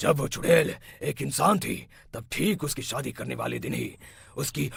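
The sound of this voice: A man puts on a cartoonish character voice at a medium pitch and a moderate pace.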